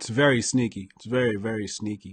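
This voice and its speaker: Over a quiet background, a man talks at a moderate pace, sounding somewhat breathy. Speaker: commentator. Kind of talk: casual commentary. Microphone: studio mic.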